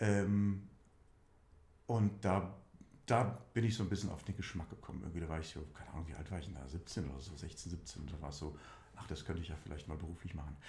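Vocal fry marks this man's very deep, low voice, which has ordinary pitch variation. He speaks at a fairly quick pace with long, frequent pauses. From Saarland, Germany (Saarlouis district). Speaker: musical theatre actor. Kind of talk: casual interview.

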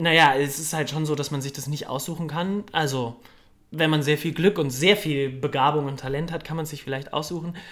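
A man with an ordinary speaking voice, fairly high in pitch, at a moderate pace and with fairly even intonation. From Cologne, Germany. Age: young. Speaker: musical theatre performer. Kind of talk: casual interview. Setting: café.

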